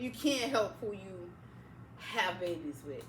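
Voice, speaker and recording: Very slow speech over noticeable background noise. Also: woman. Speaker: podcast co-host. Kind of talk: casual chat. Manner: halting.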